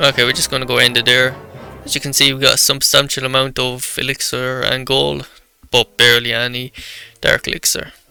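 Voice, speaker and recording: Over music in the background, a man talks at a fairly quick pace with a medium pitch and monotone, flat intonation. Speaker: gaming YouTuber. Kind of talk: gameplay commentary. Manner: halting.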